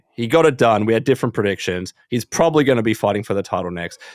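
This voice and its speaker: A man with a New Zealand accent, medium pitch, lively intonation and a very fast pace, in a dry, close sound with no echo. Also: hardly any pauses. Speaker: podcast host. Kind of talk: casual chat.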